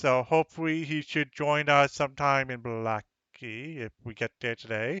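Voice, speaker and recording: A man at a moderate pace and fairly high pitch, with ordinary pitch variation and hardly any pauses. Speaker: game master. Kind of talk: casual chat. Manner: loud.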